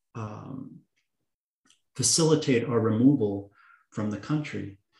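A man speaks in a dark, mellow tone that is somewhat breathy. His pitch variation is ordinary. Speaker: adoptee and writer guest. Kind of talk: interview conversation on adoption and politics.

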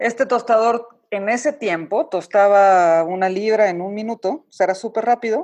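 A woman with an ordinary speaking voice at medium pitch and a moderate pace, with ordinary pitch variation. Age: 40s. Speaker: coffee business owner. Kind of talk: interview. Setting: remote call.

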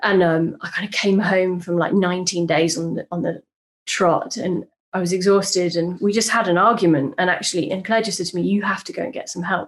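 A woman with a medium pitch keeps up a fairly quick pace. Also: fairly even intonation. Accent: British. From Britain. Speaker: event organizer sharing IVF story. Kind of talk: casual podcast conversation.

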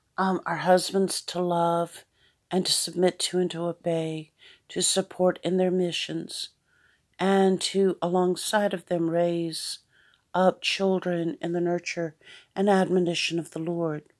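Over a quiet background, a woman with an American accent talks fairly slowly at a fairly low pitch, her intonation monotone and flat. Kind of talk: devotional monologue. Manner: hesitant, many fillers.

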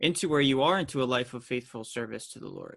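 An unremarkable speaking voice from a man, fairly high-pitched, with fairly even intonation over a quiet background. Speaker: podcast host. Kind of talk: interview conversation.

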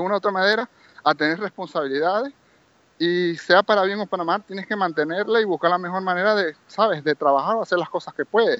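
The man's voice sits high in pitch, with ordinary pitch variation. He talks at a fairly quick pace. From Venezuela, Maracaibo (Zulia). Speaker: property manager, Venezuelan emigrant. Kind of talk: interview.

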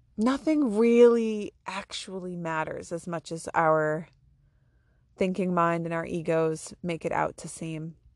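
Her tone is animated, and her pitch is fairly low for a woman. She speaks at a fairly slow pace. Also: ordinary pitch variation. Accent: American. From Maine, US. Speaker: podcast host. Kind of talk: casual monologue.

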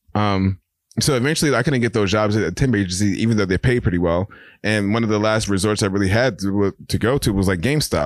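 On a very clean recording with a silent background, a man with a New York accent talks at a very fast pace, with very even loudness and ordinary pitch variation. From New York (Brooklyn and Queens). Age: 30s. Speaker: artist. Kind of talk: casual chat.

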